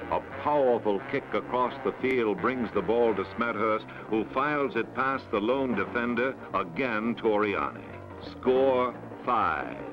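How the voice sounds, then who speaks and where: Clear music plays behind a man speaking at a fairly slow pace. His pitch varies in an ordinary way and his loudness stays very even. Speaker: sports film narrator. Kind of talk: sports highlight film narration.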